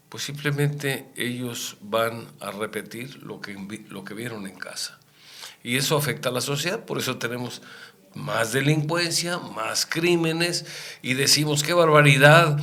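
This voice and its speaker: Against noticeable background noise, a man with a fairly high pitch and ordinary pitch variation speaks fairly slowly, his loudness swinging widely. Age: 70s. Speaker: radio host. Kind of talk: radio talk show discussion.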